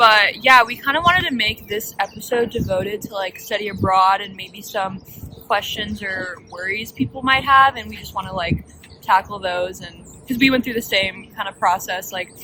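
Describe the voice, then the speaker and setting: Moderate pace, with noticeable background noise. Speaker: university student, show host. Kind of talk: casual chat. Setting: eating a meal on camera.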